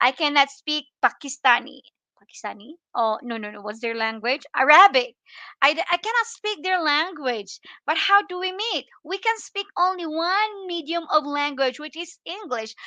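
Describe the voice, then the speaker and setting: A woman's raised, projected voice with a Filipino accent, high in pitch with a bright, sharp tone, very wide pitch swings, big shifts in loudness and a moderate pace, captured dry and close with no echo against a quiet background. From Philippines. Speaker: livestream vlogger. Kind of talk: casual livestream chat. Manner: halting.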